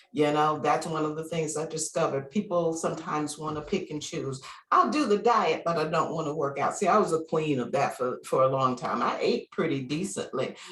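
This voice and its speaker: A woman's very deep, low voice at a fairly quick pace, with ordinary pitch variation, hardly any pauses, and noticeable background noise. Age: 60s. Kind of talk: interview answer. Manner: casual, conversational.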